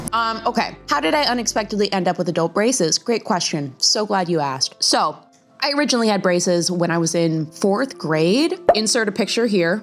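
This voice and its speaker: A woman with a medium-pitched voice talks at a fairly quick pace, her intonation lively and her tone upbeat. Her loudness stays very even, with music playing in the background. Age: 20s. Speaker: lifestyle vlogger. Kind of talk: casual talk to camera. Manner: chatty, upbeat.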